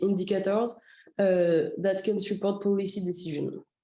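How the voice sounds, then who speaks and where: A woman at a medium pitch and moderate pace, with audible room echo. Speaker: citizen science project coordinator. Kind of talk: presentation. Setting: video call. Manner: halting.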